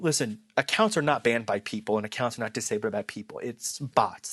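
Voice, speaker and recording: A man speaks fairly quickly. The recording is dry and close, with no echo. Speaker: marketing YouTuber. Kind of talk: casual talk to camera. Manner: halting, self-correcting.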